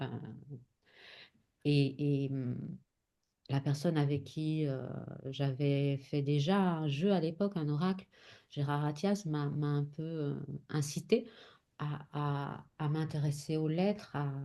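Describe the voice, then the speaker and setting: A woman at a very slow pace with a very deep, low pitch, a dark, mellow tone, fairly even intonation and long, frequent pauses, against a quiet background. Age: 50s. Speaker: spiritual teacher and oracle author. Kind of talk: casual chat. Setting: live stream. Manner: halting, many repetitions and hesitations.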